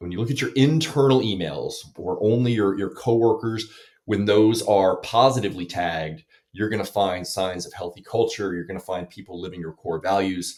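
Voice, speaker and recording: A man's fairly low voice with ordinary pitch variation, big swings in loudness and a moderate pace. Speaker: tech company founder. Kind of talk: interview, product explanation.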